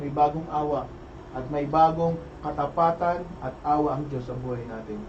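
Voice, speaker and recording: Noticeable background noise accompanies a voice with an animated tone. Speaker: preacher leading opening prayer. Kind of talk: fervent prayer; sermon-like exhortation. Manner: fervent, emphatic, repeating praises; animated, raised voice.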